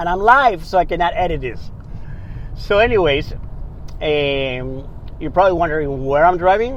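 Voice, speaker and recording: Fairly quick speech with lively intonation, noticeable background noise and audible room echo. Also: man. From Ecuador, Guayaquil. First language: Spanish. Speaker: podcast host. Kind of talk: casual monologue. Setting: in a car.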